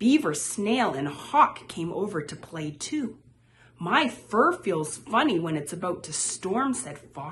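This is a natural reading voice. It carries the text along.

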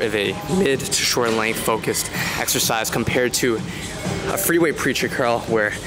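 A man talks with ordinary pitch variation while clear music plays in the background. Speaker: fitness coach. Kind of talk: casual vlog chat. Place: gym. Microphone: handheld.

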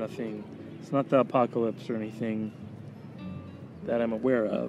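Monotone, flat intonation at a moderate pace comes through a dry sound with no echo and noticeable background noise. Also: man. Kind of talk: tutorial. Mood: relaxed, joking. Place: open country.

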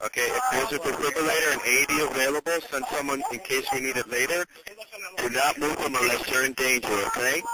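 Over loud background noise, a man talks at a very fast pace with ordinary pitch variation and a dry sound with no echo. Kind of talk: emergency call instructions.

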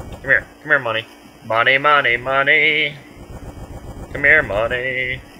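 A man puts on a character voice at a medium pitch. He goes at a fairly slow pace, with long, frequent pauses. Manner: creepy, lusting after money.

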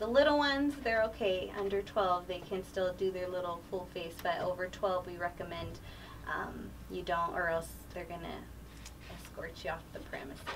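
A woman talks at a moderate pace with fairly low pitch and fairly even intonation.

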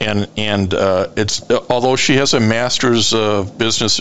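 Noticeable background noise sits behind a man's voice. His pitch is medium, with ordinary variation. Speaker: radio show host. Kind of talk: radio interview host talk.

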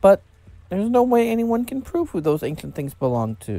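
The words come in an unforced reading voice.

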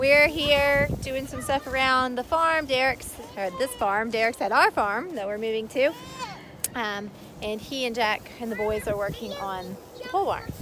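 A woman speaks at a fairly slow pace with long, frequent pauses. Crowd noise sits in the background. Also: dry sound with no echo. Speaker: farm vlogger. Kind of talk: casual vlog chat. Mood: warm, a bit bittersweet. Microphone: phone near.

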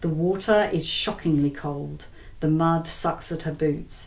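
Very deep and low in pitch, a woman talks at a very slow pace with fairly even intonation. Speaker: author reading from own novel. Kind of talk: audiobook-style thriller reading. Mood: tense suspenseful narration. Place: home room.

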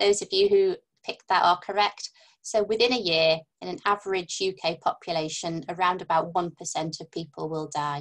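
A woman in a North Welsh accent talks at a moderate pace with ordinary pitch variation over a quiet background. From North Wales. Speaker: palliative care doctor. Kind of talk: webinar lecture. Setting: video call. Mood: friendly, relaxed. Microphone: webcam.

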